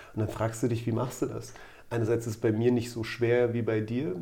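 In a room with audible echo, a man talks very fast in a medium-pitched, somewhat breathy voice with a dark, mellow tone and flat, monotone intonation. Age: 40s. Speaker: doctor, orthopedic surgeon. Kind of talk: casual chat.

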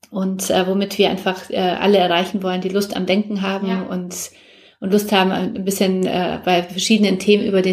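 Monotone, flat intonation from a woman at medium pitch and moderate pace, over noticeable background noise. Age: 40s. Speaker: publisher and entrepreneur. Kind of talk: interview. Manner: hesitant, many fillers.

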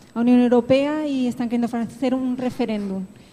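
A dark, mellow tone carries a Spanish accent at a moderate pace with fairly even intonation. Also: woman. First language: Spanish (speaking Portuguese). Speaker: audience member. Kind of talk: audience comment.

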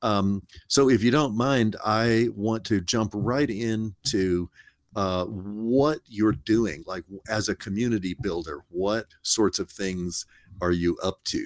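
A man with a fairly low pitch and ordinary pitch variation speaks at a very slow pace on a very clean recording with a silent background. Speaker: college dean and podcast host. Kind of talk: interview conversation.

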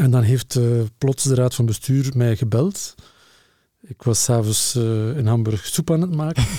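Somewhat breathy man's voice, dark and mellow in tone, medium in pitch, fairly slow, with ordinary pitch variation. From Flanders, Lokeren (East Flanders). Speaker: museum director. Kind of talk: casual interview. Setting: studio table.

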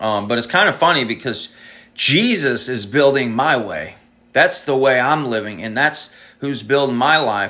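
A bright, sharp tone at a moderate pace. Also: man, medium pitch for a man, ordinary pitch variation. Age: 30s. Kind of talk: sermon-style solo talk. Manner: halting, with frequent ums.

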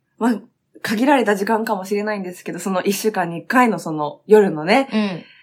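With big swings in loudness, a woman talks in an unremarkable speaking voice at medium pitch with ordinary pitch variation. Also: moderate pace. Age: 30s. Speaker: online radio show host, fashion retail staff. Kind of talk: casual chat. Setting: studio.

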